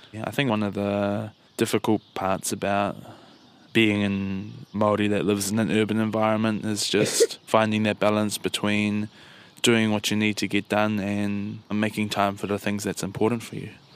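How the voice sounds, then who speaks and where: On a very clean recording with a silent background, a man talks at a moderate pace. His pitch is fairly low and his intonation monotone and flat. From New Zealand, Motueka area. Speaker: Maori man working in the city. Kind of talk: interview.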